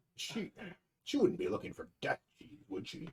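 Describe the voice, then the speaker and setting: At a moderate pace, a man does a put-on character voice. His loudness swings widely. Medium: actual play.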